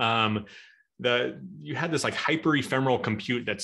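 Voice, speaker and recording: A man talks at a fairly quick pace with a Midwestern US accent and ordinary pitch variation. The background is quiet. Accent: General American, Midwestern. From US Midwest (Omaha, Nebraska); Nebraska. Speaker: tech speaker, database expert; speaker. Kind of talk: technical webinar talk. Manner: fast. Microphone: video call.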